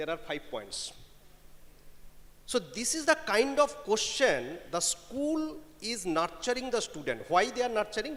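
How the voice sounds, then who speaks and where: A man with a Bengali accent speaks at an extremely high pitch. His intonation is lively, and his pace is moderate. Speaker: panelist at HR conclave. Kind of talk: panel discussion. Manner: code-switching Bengali and English.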